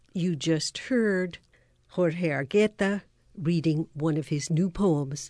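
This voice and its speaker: At a very slow pace, a woman talks in a dark, mellow tone with a fairly low pitch over a quiet background. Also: ordinary pitch variation. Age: 80s+. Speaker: radio host. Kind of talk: interview.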